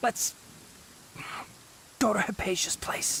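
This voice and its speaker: A man whispers in a raspy, put-on character voice. Clear background noise can be heard. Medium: video game. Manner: calm, measured.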